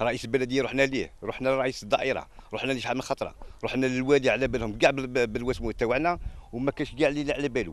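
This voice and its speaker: In an Algerian accent, the speaker talks at a very fast pace with fairly even intonation, and the sound is dry with no echo. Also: man, medium pitch for a man. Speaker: local resident. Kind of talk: street interview complaint. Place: open country. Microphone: handheld.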